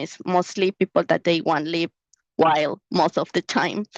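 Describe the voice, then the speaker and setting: A woman with a Mexican accent speaks at a moderate pace in a dry, close sound with no echo. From Mexico. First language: Spanish. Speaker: researcher. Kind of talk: Q&A answer at an online conference. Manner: halting.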